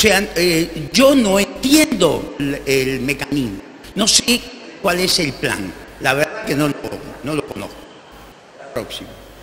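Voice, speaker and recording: With noticeable background noise, a man speaks very slowly at a high pitch, taking long, frequent pauses and making very wide pitch swings. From Argentina, Buenos Aires. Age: 60s. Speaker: doctor and panelist. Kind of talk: conference talk with slides.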